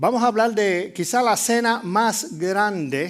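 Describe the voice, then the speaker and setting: A man with a Puerto Rican accent. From Puerto Rico. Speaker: pastor. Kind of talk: sermon. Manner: halting, with many fillers.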